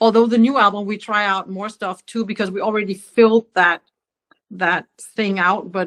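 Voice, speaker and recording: The sound is dry and close with no echo as a woman with a Danish accent talks at a fairly quick pace with fairly even intonation. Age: 60s. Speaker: singer-songwriter. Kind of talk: interview conversation. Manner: halting, many fillers.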